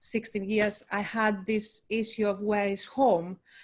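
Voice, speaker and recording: A woman's fairly high voice in a Greek accent, very slow and monotone, with flat intonation. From Greece. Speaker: poet. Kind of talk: panel discussion. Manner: halting.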